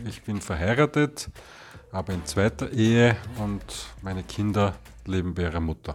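Fairly low-pitched male voice at a moderate pace, with lively intonation and long, frequent pauses, on a very clean recording with a silent background. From Vienna, Austria. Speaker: resident. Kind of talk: interview.

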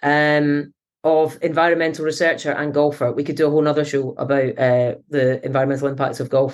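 In a Scottish accent, a woman with a very deep, low voice speaks at a fairly quick pace. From Scotland. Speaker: climate researcher and professor. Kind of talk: interview. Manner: energetic.

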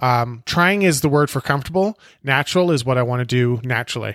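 A man with a western Canadian accent, medium in pitch, at a moderate pace, with a dry, close sound with no echo on a very clean recording with a silent background. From western Canada (British Columbia, Alberta). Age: 40s. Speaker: podcast host. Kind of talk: casual monologue introduction. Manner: hesitant, with fillers.

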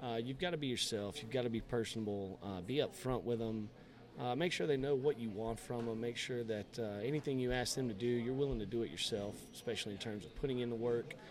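There is noticeable background noise as a man talks at a very fast pace with a South Georgia accent. His pitch is medium, with ordinary variation. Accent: US Southern (South Georgia). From South Georgia (Valdosta, Lowndes County). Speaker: high school football coach. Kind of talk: casual interview.

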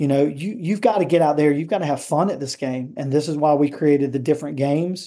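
With an American accent, a man talks at a very fast pace with hardly any pauses, his fairly high pitch showing ordinary variation. His tone is dark and mellow against a quiet background. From US South. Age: 50s. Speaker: tennis coach. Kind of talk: interview conversation.

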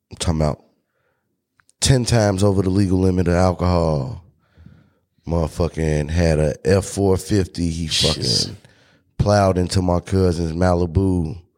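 At a moderate pace with long, frequent pauses, the speech keeps fairly even intonation on a very clean recording with a silent background. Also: man, very deep, low pitch for a man. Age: 30s. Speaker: podcast host. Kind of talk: casual chat.

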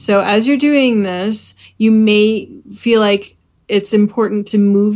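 A woman's unremarkable speaking voice at medium pitch, fairly slow in pace, with fairly even intonation. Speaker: podcast host and bodywork practitioner. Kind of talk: guided meditation. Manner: calm, slow, soothing; gentle, unhurried with pauses.

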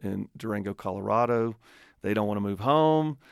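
Recorded very cleanly against a silent background, a man speaks at a moderate pace with a Southern US accent. The sound is dry and close, with no echo. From Alabama, US South. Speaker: nonprofit leader and radio host. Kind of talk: radio interview conversation.

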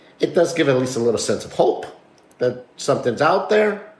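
A man speaks in an animated tone at a fairly high pitch with very wide pitch swings. Noticeable background noise runs underneath. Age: 50s. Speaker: podcast co-host. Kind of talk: casual chat. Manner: animated, talks with his hands.

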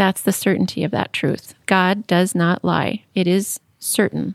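A woman's medium-pitched voice with vocal fry at a fairly slow pace. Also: dry, close sound with no echo. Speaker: seminary teacher guest. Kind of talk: explanatory discussion of scripture.

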